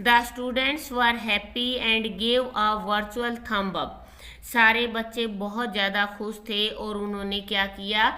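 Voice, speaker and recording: Amid noticeable background noise and audible room echo, a woman speaks very slowly in a fairly high, monotone, flat voice. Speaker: tutor teaching a school class. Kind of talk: lecture.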